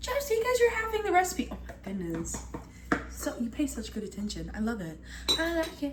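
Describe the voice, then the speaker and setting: With noticeable background noise and audible room echo, a woman talks in an animated tone. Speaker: cooking video creator. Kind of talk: casual cooking tutorial. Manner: fast.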